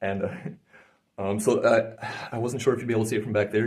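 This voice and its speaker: The speaker is soft-spoken and talks at a very fast pace. The intonation stays monotone and flat. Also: man. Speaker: energy healer. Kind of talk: guided session with explanation to camera. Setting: indoors, filmed session. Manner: halting, many fillers; soft-spoken normally, speaking up here.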